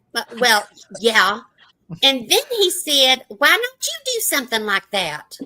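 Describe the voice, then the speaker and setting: The voice is raised and projected, moving at a very slow pace. Its pitch swings very widely. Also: woman, high pitch for a woman. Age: 60s. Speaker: retiree YouTuber. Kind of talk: casual group chat.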